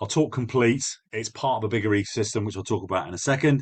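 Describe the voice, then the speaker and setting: Very fast speech from a man, somewhat breathy, with ordinary pitch variation over a quiet background. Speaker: business coach. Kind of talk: webinar presentation. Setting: online live webinar. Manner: direct.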